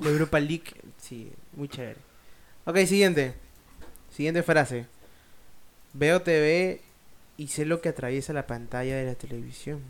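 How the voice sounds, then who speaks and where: At a fairly slow pace with long, frequent pauses, a man with a fairly high pitch talks with ordinary pitch variation and big swings in loudness. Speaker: podcast co-host. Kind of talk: casual chat.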